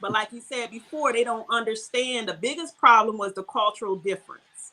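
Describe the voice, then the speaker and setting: In an American accent, a woman speaks with a fairly high pitch and a bright, sharp tone. Her pitch varies in an ordinary way. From US, Baltimore, Maryland. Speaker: Ifa priestess, spiritual practitioner. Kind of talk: podcast interview conversation.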